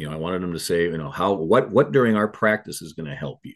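A man with an Upper Midwest accent, a very deep, low pitch and a very fast pace, against a quiet background. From Minnesota (Eagan). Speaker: retired high school baseball coach. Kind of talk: casual interview. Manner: halting, repeats words.

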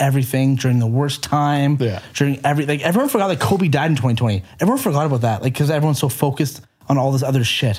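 Somewhat breathy and fairly high-pitched, a man talks at a very fast pace with lively intonation on a very clean recording with a silent background. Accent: Canadian. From Canada. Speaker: podcast guest. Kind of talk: casual chat.

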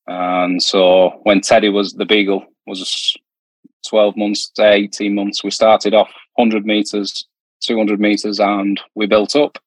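Dry, close sound with no echo carries a man's fairly low voice. He talks at a very slow pace with monotone, flat intonation. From Britain. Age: 40s. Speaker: amateur canicross racer. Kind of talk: casual chat.

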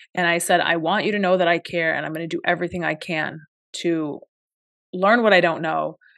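Over a quiet background, a woman with a fairly low pitch and vocal fry talks at a fairly quick pace with fairly even intonation. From Palestinian diaspora. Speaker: podcast co-host. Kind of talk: podcast discussion and personal reflection.

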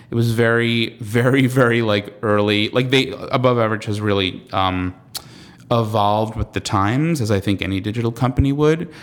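Against noticeable background noise, a man with an American accent talks at a moderate pace and medium pitch with ordinary pitch variation. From US Northeast, Long Island, New York. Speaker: comedian, writer and actor. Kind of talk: interview. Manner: halting, many fillers.

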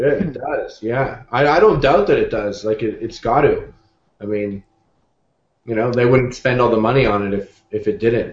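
A man with a Canadian accent, medium in pitch and somewhat breathy, at a moderate pace with ordinary pitch variation. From Canada. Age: 20s. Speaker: YouTube cooking show host. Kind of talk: casual chat.

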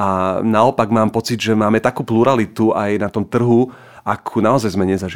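A man's ordinary speaking voice, medium-pitched, at a moderate pace with fairly even intonation. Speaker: writer. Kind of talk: casual chat.

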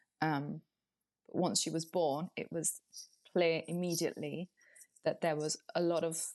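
A woman speaks fairly slowly at a fairly low pitch with vocal fry and monotone, flat intonation, leaving long, frequent pauses, in a dry, close sound with no echo. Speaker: beauty writer and podcaster. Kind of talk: casual interview.

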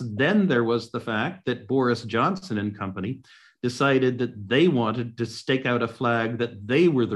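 With an American accent, a man speaks in a normal speaking voice at a medium pitch and moderate pace, with ordinary pitch variation against a quiet background. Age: 60s. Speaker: economist and author. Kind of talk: webinar discussion.

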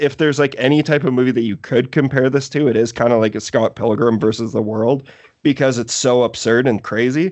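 In a Canadian accent, a man speaks fairly quickly in an unremarkable speaking voice at medium pitch, his intonation fairly even and his loudness very even. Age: 30s. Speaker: horror movie podcast host. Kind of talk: casual chat.

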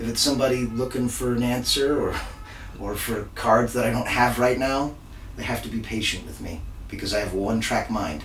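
Noticeable background noise and audible room echo surround a man with an American accent who speaks at a moderate pace, with medium pitch and ordinary pitch variation. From Texas. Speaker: magician. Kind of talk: casual interview.

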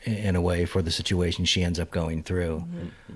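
This man's voice is very deep and low. His intonation changes only a little, staying fairly even. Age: 50s. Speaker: podcast host and community theatre actor. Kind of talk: casual chat. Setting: theatre venue. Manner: halting.

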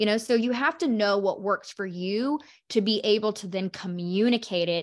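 A woman with a plain, everyday voice and an American accent speaks at a moderate pace with lively intonation and medium pitch. The recording is very clean, with a silent background. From Oklahoma. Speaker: podcast host, business coach. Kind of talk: interview.

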